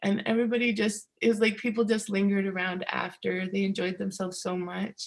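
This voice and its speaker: Her voice is somewhat breathy and medium in pitch. The woman speaks at a moderate pace. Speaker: seed keeper presenter. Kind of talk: conference presentation with slides.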